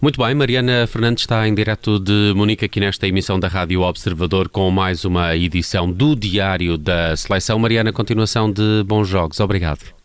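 An ordinary speaking voice moves at a fairly quick pace with hardly any pauses. The loudness stays very even and the pitch varies in an ordinary way. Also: man, fairly low pitch for a man. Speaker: radio news host. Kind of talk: radio presenting.

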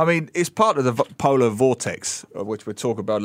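In a London accent, a man with a medium-pitched voice speaks at a fairly quick pace with ordinary pitch variation, recorded very cleanly against a silent background. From London, England. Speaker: author and newspaper columnist. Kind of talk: casual radio chat. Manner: animated.

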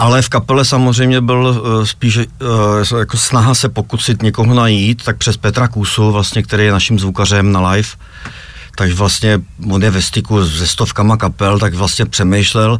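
Someone speaks at a moderate pace with fairly even intonation and very even loudness over noticeable background noise. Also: man, fairly low pitch for a man. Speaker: rock band founder and leader. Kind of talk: radio interview.

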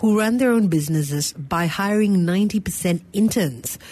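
Using lively intonation, a woman with an unremarkable speaking voice speaks at a medium pitch. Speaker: radio talk show co-host. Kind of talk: call-in radio show.

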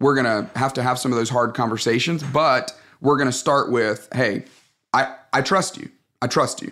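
Bright and sharp in tone, a man with a Southern US accent speaks at medium pitch and a moderate pace with ordinary pitch variation. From Alabama, US South. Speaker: pastor and leadership author. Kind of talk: interview.

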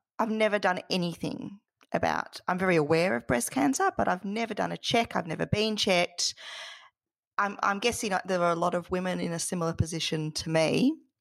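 A woman with a plain, everyday voice speaks fairly quickly at a medium pitch with lively intonation. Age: 40s. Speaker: podcast host. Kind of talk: scripted intro; interview. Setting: podcast.

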